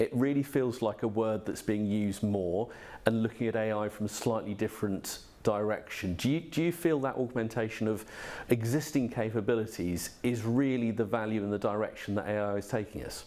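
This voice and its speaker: Ordinary pitch variation marks this man's dark, mellow tone. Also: moderate pace. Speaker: event host. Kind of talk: event moderation and interview. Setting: virtual event. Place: studio.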